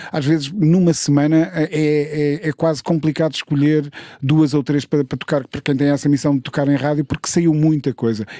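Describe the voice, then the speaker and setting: A man's fairly high, dark and mellow voice at a moderate pace, fairly even in intonation with hardly any pauses, dry with no echo over a quiet background. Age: 50s. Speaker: music journalist and radio host; music journalist, radio host. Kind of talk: casual chat. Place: studio. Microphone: studio mic.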